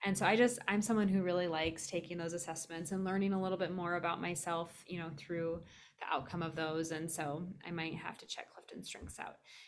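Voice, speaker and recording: A woman with an American accent speaks at a fairly quick pace in a fairly low voice, her intonation fairly even but her loudness swinging widely. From US Midwest, Iowa. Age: 40s. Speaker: podcast host, wellness manager. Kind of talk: casual interview.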